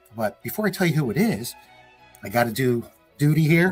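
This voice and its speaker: Against music in the background, a man with a fairly high voice speaks at a moderate pace in an upbeat tone, his pitch swinging very widely. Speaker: interview host of a Christmas light show fan channel. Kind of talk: casual talk to camera. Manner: upbeat, friendly.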